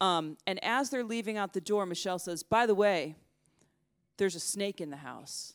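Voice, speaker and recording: Speaking at a moderate pace in a plain, everyday voice with an American accent, the recording is very clean with a silent background. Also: woman, medium pitch for a woman, lively intonation, dry, close sound with no echo. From United States. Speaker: journalist. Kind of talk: storytelling talk. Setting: stage with audience.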